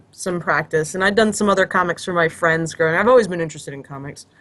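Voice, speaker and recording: A woman speaks with an American accent. Noticeable background noise can be heard. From United States. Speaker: illustrator and comic artist. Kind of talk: casual chat.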